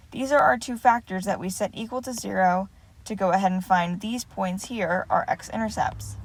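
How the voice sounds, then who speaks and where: The woman's voice is somewhat breathy, with ordinary pitch variation. The recording is very clean, with a silent background. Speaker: math teacher. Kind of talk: lecture. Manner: fast.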